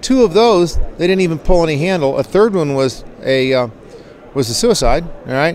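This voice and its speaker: A man speaks in a relaxed tone at a high pitch. His pace is moderate, with noticeable background noise. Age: 60s. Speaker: skydiving gear inventor and company owner. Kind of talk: casual interview. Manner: relaxed, conversational.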